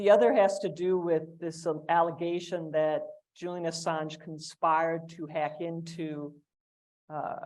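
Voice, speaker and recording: A woman speaks at a fairly slow pace in a fairly low pitch. Her intonation is flat and monotone, while her loudness swings widely. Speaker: panelist, writer on free speech. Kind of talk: panel discussion.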